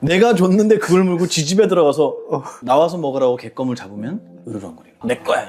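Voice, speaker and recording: Over noticeable background noise, a man with a high pitch talks at a very fast pace, with very wide pitch swings and big swings in loudness. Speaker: Buddhist monk. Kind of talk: interview conversation.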